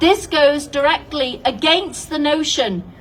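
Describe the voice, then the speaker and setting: A woman's high voice at a fairly slow pace, with ordinary pitch variation. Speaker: nurse. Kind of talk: prepared public statement. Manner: confident, passionate.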